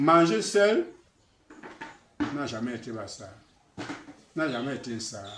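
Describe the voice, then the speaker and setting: Very slow speech with lively intonation, audible room echo and noticeable background noise. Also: man. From Cameroon, Basaa region. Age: 80s+. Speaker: traditional elder. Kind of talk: address to his people.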